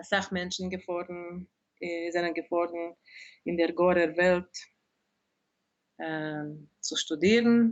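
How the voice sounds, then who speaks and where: A woman with a Hungarian accent speaks very slowly, with long, frequent pauses. Her pitch is fairly low and her intonation fairly even, yet her loudness swings widely. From Hungary, Budapest. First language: Hungarian (speaking German). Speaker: dictionary editor and translator. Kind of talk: interview. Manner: halting.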